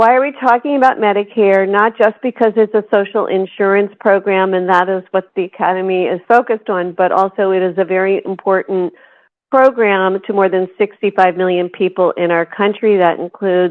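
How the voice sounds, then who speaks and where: A woman with an American accent has an ordinary speaking voice. Her pitch is medium and her intonation fairly even. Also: fairly quick pace. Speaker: health policy expert. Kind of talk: lecture. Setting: conference room with audience.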